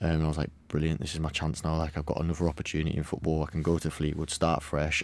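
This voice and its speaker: Very deep and low, a man's voice with a Cumbrian accent races along at a very fast pace on a very clean recording with a silent background. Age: 20s. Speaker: footballer. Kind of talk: podcast interview.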